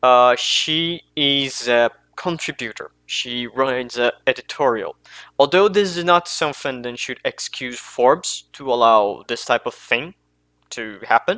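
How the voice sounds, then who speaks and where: Speaking fairly slowly with a non-native accent, a man uses a medium pitch and ordinary pitch variation. His tone is bright and sharp, and the sound is dry and close with no echo. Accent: non-native English, mispronounces names. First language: not English. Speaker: commentary youtuber. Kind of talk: unscripted commentary monologue. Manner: halting, self-correcting.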